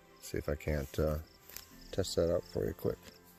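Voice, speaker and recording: A man's voice with music in the background. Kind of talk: casual vlog narration to camera. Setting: outdoors. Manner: monotone, low-energy.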